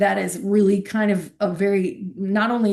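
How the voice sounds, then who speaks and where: A woman with a somewhat breathy voice at medium pitch speaks in a monotone, flat intonation. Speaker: university librarian. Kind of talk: workshop lecture.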